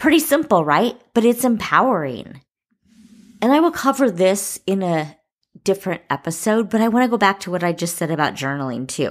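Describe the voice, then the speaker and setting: On a very clean recording with a silent background, a woman at a medium pitch talks at a fairly quick pace in an enthusiastic tone with very wide pitch swings. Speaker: podcast host. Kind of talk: motivational podcast talk.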